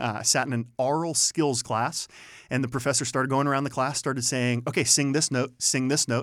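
A man's medium-pitched voice with an American accent, fairly quick and fairly even in intonation, in a very clean recording with a silent background. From US Midwest, Youngstown, Ohio. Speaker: college administrator. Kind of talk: interview.

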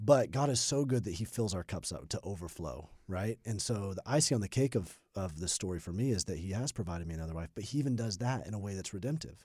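A man with an American accent speaks at a very fast pace with hardly any pauses, his fairly low voice dark and mellow in tone, his intonation lively, on a very clean recording with a silent background. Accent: little Southern twang, trained out. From US South, Birmingham, Alabama. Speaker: pastor. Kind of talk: interview. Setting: studio.

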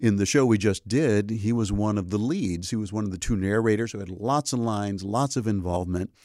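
A man at a fairly quick pace with hardly any pauses, fairly low in pitch, dark and mellow in tone, with ordinary pitch variation. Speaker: theater professor and gospel quartet bass singer. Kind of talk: casual chat. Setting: studio.

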